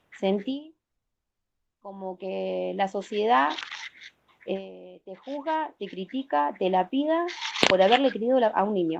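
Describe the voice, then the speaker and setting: A woman speaks at a medium pitch with very wide pitch swings and big swings in loudness. Her pace is very slow, with long, frequent pauses. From Argentina, Santa Fe province. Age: 40s. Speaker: protective mother. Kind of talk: interview testimony. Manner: emphatic.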